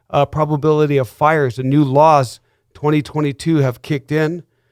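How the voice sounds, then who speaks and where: With ordinary pitch variation, an unremarkable speaking voice keeps up a fairly quick pace. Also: man. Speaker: real estate broker. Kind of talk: radio show host talk.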